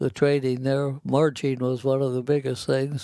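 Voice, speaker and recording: A man talks in a flat monotone at a medium pitch, his tone dark and mellow. The recording is very clean, with a silent background. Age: 90s. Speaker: war veteran. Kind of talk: interview. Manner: halting.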